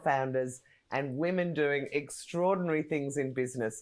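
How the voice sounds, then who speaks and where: Her intonation is lively and her pace moderate. The recording of this woman is very clean, with a silent background. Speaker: podcast host. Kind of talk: interview host talk.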